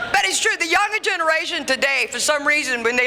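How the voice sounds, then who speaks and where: A woman talks in an animated tone with an American accent and very wide pitch swings. Noticeable background noise runs beneath her. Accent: Cajun Louisiana Southern US. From Louisiana. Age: 60s. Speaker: comedian. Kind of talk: stand-up. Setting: stage with audience.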